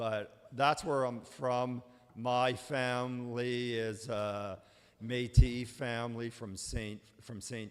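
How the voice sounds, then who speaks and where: A man with a Canadian Prairie accent talks at a very slow pace. His intonation is fairly even, though his loudness swings widely. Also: medium pitch for a man. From Manitoba, Canada. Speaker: lawyer. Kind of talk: presentation. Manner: halting.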